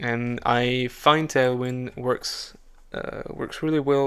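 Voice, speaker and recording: A man with a non-native accent speaks at a medium pitch with fairly even intonation. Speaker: programmer. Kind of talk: coding tutorial narration. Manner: halting, many fillers and restarts.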